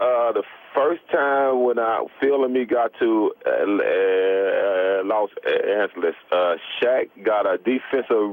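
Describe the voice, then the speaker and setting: Delivered at a very slow pace, the voice keeps a very even loudness over noticeable background noise. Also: man. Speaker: former professional basketball player. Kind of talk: radio interview answer. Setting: phone line.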